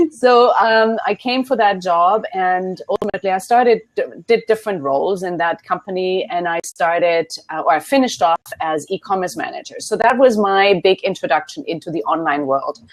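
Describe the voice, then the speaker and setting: A woman with a German accent, lively intonation and a moderate pace. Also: medium pitch for a woman. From Germany. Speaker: business consultant. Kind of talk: interview.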